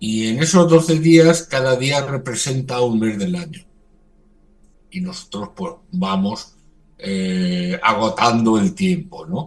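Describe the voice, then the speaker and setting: A man speaks at a very slow pace with a fairly high pitch. His pitch swings very widely. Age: 60s. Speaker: religious community leader. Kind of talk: radio interview. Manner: halting.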